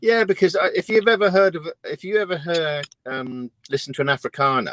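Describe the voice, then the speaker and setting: Close and dry with no echo, a man's high-pitched voice moves at a fairly quick pace with lively intonation. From Britain. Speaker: truck driver. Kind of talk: casual chat.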